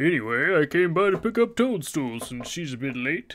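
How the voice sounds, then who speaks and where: A put-on character voice runs at a moderate pace over light background noise. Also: man, fairly high pitch for a man. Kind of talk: reading game dialogue aloud.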